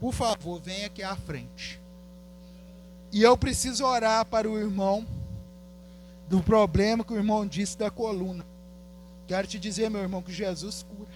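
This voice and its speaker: A man speaks at a moderate pace in a high pitch with fairly even intonation. He leaves long, frequent pauses, and his loudness swings widely. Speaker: guest preacher. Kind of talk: altar call and prayer ministry; sermon. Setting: church service.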